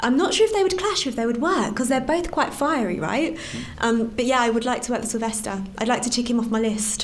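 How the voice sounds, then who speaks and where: A woman with a London accent, high in pitch, very fast and with lively intonation, against noticeable background noise. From East London. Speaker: actor. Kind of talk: interview.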